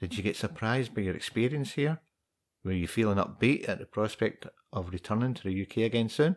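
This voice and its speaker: Lively intonation comes with a Scottish accent at a fairly quick pace. The recording is very clean, with a silent background. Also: man, medium pitch for a man. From Scotland. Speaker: podcast host. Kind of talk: casual interview.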